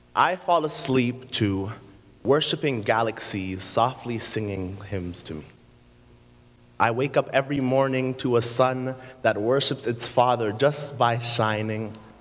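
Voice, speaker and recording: This man has an unremarkable speaking voice, medium in pitch with ordinary pitch variation, and he talks at a fairly slow pace. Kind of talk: spoken word poetry performance.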